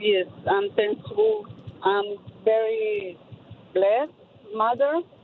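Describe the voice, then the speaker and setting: A woman with fairly high pitch and fairly even intonation at a very slow pace over noticeable background noise. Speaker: caller. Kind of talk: phone-in testimony. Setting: phone call. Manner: halting.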